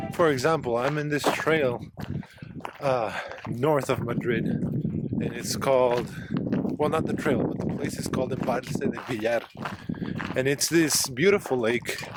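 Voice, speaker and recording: Noticeable background noise beneath long, frequent pauses. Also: man, medium pitch for a man, ordinary pitch variation, fairly slow pace. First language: Spanish. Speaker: travel vlogger. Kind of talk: casual vlog talk to camera. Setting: outdoors on a trail. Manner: halting, with fillers and restarts.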